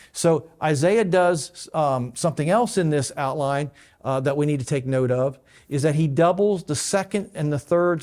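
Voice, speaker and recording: A man speaks at a fairly high pitch with ordinary pitch variation. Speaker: pastor. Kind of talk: bible teaching. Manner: fast.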